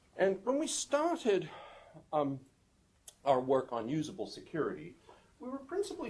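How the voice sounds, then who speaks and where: A man at a moderate pace with lively intonation. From UK-born, raised partly in Canada and New Zealand. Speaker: professor. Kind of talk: conference talk. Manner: many fillers (um, uh).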